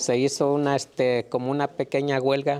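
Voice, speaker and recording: Speaking very slowly in a Mexican accent, a man with a medium-pitched voice is heard over noticeable background noise. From Mexico. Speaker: migrant farm worker. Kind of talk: interview answer.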